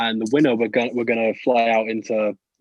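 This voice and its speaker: This man speaks with a British accent. His pitch sits in the medium range. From UK. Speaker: rapper. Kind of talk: casual chat. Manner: halting.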